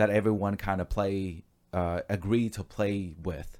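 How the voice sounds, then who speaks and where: In a very clean recording with a silent background, a man speaks at a fairly slow pace in a calm tone, with fairly low pitch and fairly even intonation. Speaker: podcast co-host on NFTs and crypto. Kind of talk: casual chat. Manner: calm, laid-back delivery.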